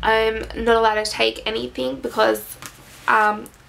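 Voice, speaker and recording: Noticeable background noise runs beneath a voice whose pitch varies in an ordinary way. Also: woman. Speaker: vlogger. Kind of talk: casual vlog. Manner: hesitant, many fillers.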